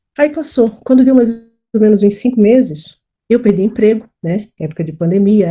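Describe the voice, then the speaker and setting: A somewhat breathy woman's voice, dark and mellow in tone, at medium pitch. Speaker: scam victim. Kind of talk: testimony. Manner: halting, with repetitions.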